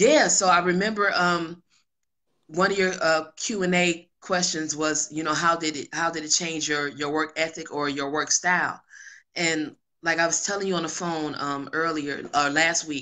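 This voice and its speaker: A woman with an American accent, her fairly low pitch held in fairly even intonation. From Detroit, US Midwest. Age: 30s. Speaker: hip hop artist and singer. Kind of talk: interview conversation. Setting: video call. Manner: slower, conversational.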